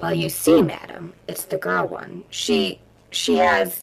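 This put-on character voice sits at a middle pitch, sounds raspy, and moves at a fairly slow pace. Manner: stammering, timid.

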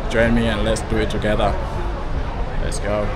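A man at a moderate pace, over loud background noise. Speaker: walking tour vlogger. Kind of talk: casual vlog chat. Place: street. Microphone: phone near.

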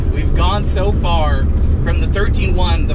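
Over loud background noise, a man speaks at a very slow pace. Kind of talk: casual vlog chat. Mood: excited, laughing. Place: car. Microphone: camera far.

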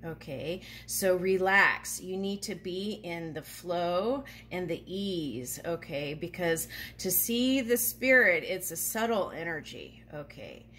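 Speaking very slowly, a woman with a fairly low pitch uses lively intonation and a bright, sharp tone. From Japan. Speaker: tarot reader and spiritual channel host. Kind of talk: casual tutorial talk to camera. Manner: halting, many fillers. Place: home room. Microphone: phone near.

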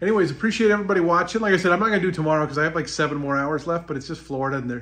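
Lively intonation colors the way this man talks. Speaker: travel vlogger. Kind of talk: casual vlog chat. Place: home room. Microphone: phone near.

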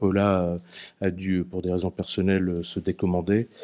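The tone is dark and mellow, the pace moderate, and the background quiet. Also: man. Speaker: moderator. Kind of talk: moderated public talk. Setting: stage with audience. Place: meeting room. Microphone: podium.

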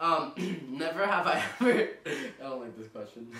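In a room with strong echo, a man speaks at a moderate pace in a bright, sharp tone with ordinary pitch variation.

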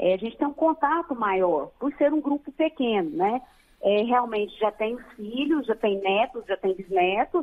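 Her intonation is lively and her pitch fairly high. The woman speaks at a fairly slow pace. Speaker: director of a radiation accident care center. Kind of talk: interview. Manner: halting, many fillers.

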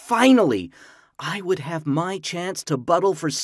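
Reading aloud in a natural voice, with intonation that is lively

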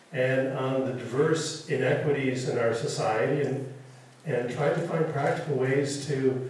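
Strong room echo surrounds a man who speaks at a fairly slow pace. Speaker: university official introducing lecture. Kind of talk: introductory speech. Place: hall.

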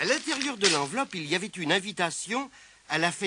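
Reading aloud in a natural reading voice

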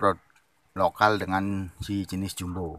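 Recorded dry with no echo, a man talks fairly slowly at a fairly low pitch. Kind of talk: casual vlog chat. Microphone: phone near.

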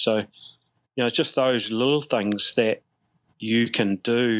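This is a man with a New Zealand accent. His pitch is medium. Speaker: softball coach and former player. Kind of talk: casual interview. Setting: remote call from abroad.

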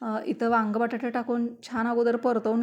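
With monotone, flat intonation, a woman speaks at a fairly high pitch. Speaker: cooking vlogger. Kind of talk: vlog narration. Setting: home kitchen.

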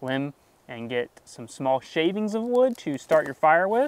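A man's speech holds a moderate pace and ordinary pitch variation. There is no echo, just a dry sound. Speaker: woodworking channel host. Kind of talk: sponsored product review. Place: forest.

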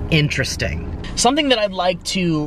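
There is noticeable background noise behind this man. He talks at a moderate pace, and the sound is dry with no echo. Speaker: travel vlogger. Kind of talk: casual vlog chat. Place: car. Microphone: phone near.

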